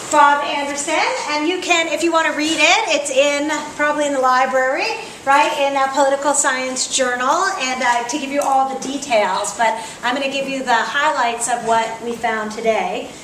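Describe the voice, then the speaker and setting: Moderate pace, ordinary pitch variation, audible room echo and noticeable background noise. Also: woman, high pitch for a woman. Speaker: sociology professor. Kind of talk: lecture. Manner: hesitant, many fillers. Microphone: microphone issue at start.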